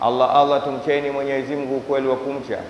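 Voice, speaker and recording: The speaker is a man. There is light background noise and audible room echo. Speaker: preacher. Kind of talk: sermon. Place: church. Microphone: handheld.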